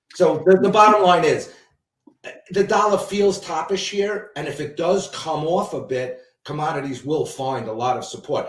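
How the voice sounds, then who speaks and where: With audible room echo, a man talks in a high pitch at a moderate pace with lively intonation. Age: 60s. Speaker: commodities trader and analyst. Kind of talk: interview. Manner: halting, with frequent repetitions and fillers.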